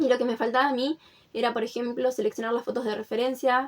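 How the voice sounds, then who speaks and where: This woman's voice is high. Her intonation remains fairly even. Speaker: artist and art workshop teacher. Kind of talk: casual podcast chat. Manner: calm, relaxed.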